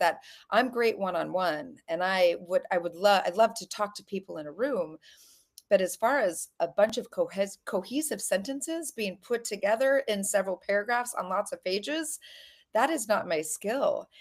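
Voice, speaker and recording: This woman has an unremarkable speaking voice at a medium pitch, with an American accent and lively intonation. She keeps a moderate pace in a very clean recording with a silent background. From US, Colorado. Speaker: author. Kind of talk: casual interview.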